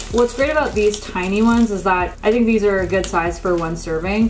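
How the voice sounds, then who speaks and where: With light background noise behind her, a woman talks at a fairly quick pace with ordinary pitch variation. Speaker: lifestyle vlogger. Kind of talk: casual haul chat. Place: kitchen.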